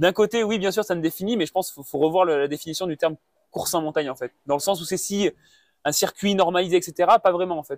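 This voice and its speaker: A man at a very fast pace, ordinary pitch variation, dry, close sound with no echo. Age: 20s. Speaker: mountain runner. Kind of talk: interview. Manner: halting, many fillers and repetitions.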